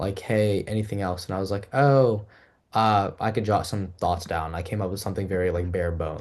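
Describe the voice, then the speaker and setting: This man speaks very fast. Nothing much stirs in the quiet background. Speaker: university student, mock interviewee. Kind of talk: casual feedback chat. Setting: livestream.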